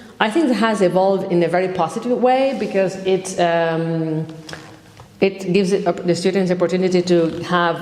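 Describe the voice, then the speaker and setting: At a moderate pace, a woman speaks at a fairly low pitch with ordinary pitch variation amid noticeable background noise. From Argentina. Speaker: communication lecturer. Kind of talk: interview answer.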